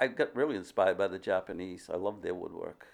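At a fairly quick pace, a man with an unremarkable speaking voice talks with lively intonation. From Massachusetts, US. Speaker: wood sculptor. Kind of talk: interview. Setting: studio.

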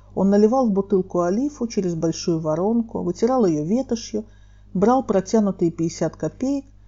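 A woman's unremarkable speaking voice at a medium pitch, lively in intonation, at a moderate pace. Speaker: storyteller, mediator. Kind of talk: memoir storytelling reading.

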